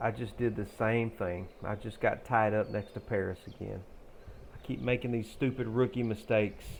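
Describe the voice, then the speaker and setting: A man with an American accent speaks with vocal fry and fairly even intonation. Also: fairly low pitch for a man. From US South, Shreveport / northeast Texas area. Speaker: video game streamer. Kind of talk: casual gameplay commentary. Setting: live stream.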